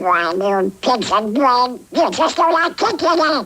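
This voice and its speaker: This is a cartoonish character voice with a fairly high pitch. It moves at a fairly slow pace with very wide pitch swings. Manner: cranky, stubborn.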